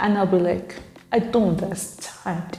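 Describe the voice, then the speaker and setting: A woman with a Nigerian accent talks at a moderate pace and medium pitch. Audible room echo and noticeable background noise surround her voice. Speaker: YouTuber. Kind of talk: reading and reacting to viewer comments. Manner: casual, conversational.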